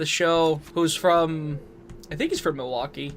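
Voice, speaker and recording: Over noticeable background noise, a man with an American accent speaks at a fairly high pitch and a moderate pace. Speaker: streamer. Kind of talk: casual chat while gaming.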